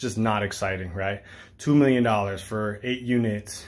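With light background noise behind him, a man speaks at a fairly low pitch with ordinary pitch variation. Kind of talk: casual vlog chat. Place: home room. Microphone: phone near.

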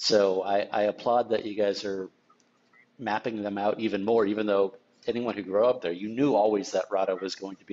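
With an ordinary speaking voice, a man talks fairly quickly at a fairly low pitch. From Napa, California; California. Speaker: sommelier; tasting host. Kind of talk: wine tasting discussion. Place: home room.

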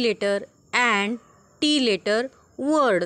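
In a Marathi accent, a woman speaks at a fairly high pitch. Her pace is very slow. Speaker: primary school teacher. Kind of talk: online class lesson for young children.

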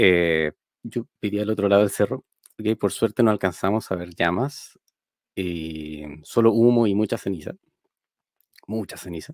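A man speaks at a moderate pace in a fairly low voice, leaving long, frequent pauses. His pitch varies in an ordinary way, and the sound is dry with no echo against a quiet background. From Chile, Quilpué (Valparaíso region); Valparaíso region, Chile. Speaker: software engineer and programming teacher; programming teacher. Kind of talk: tech conference talk. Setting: streamed talk. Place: home room. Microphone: headset.

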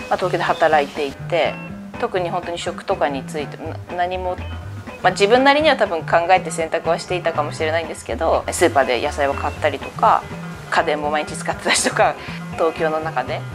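Over clear background music, the voice goes at a fairly quick pace with ordinary pitch variation and big swings in loudness. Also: woman, fairly low pitch for a woman. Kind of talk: interview answer. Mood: relaxed, light laughter. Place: home room.

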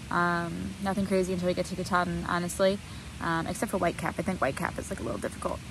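Over noticeable background noise, a woman talks at a very fast pace in a fairly low pitch, with a dry sound and no echo. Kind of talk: casual vlog chat. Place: tent. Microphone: phone near.

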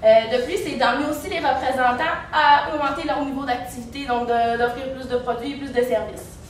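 Amid audible room echo and light background noise, a woman speaks in a high voice with fairly even intonation and hardly any pauses. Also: moderate pace. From Quebec. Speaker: business student in a case competition; presenter. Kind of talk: team case presentation to judges. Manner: halting, many fillers. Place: classroom. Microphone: camera far.

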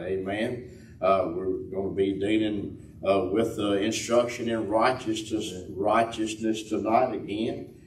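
In a room with audible echo and light background noise, a man speaks somewhat breathily at a fairly slow pace. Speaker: host of a church teaching panel. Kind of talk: church announcements and prayer lead-in. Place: church. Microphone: camera far.

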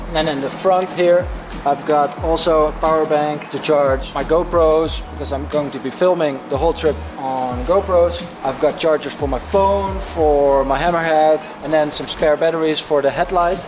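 Over clear music in the background, a man talks at a moderate pace with fairly even intonation. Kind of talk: casual explanation of bike setup. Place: street.

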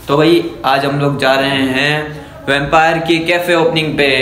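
Monotone, flat intonation from a man, amid noticeable background noise. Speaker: vlogger. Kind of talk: casual vlog chat. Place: home room. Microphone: phone near.

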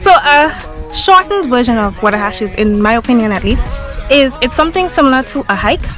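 A woman talks at a fairly quick pace and high pitch. Clear music sits in the background, and the sound is dry with no echo. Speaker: travel vlogger. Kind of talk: casual vlog chat. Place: open country. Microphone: phone near.

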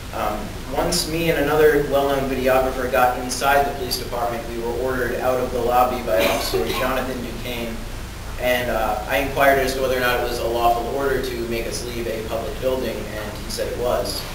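A man talks at a fairly quick pace amid noticeable background noise and audible room echo. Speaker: public commenter. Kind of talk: prepared public testimony. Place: hall. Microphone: camera far.

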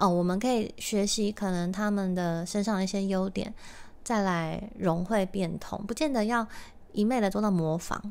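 A woman speaks at a fairly slow pace with a medium pitch. She has an unremarkable speaking voice and fairly even intonation. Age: 30s. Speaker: podcast host and musician. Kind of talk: casual solo talk.

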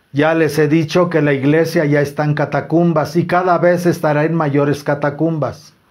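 His pitch sits fairly high for a man, and there is little pitch movement as he talks. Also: moderate pace.

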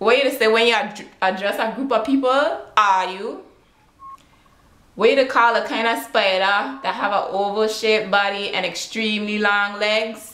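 A woman with a Virgin Islands accent, fairly high-pitched with ordinary pitch variation, at a fairly slow pace amid audible room echo. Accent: Virgin Islands Creole. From British Virgin Islands. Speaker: vlogger. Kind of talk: casual talk to camera. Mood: playful, relaxed. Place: home room. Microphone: webcam.

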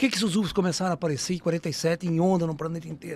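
A man speaks at a fairly quick pace in an animated tone, and the sound is dry with no echo. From Brazil. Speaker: ufologist and spiritualist speaker; speaker. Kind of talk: casual interview storytelling. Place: studio. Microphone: studio mic.

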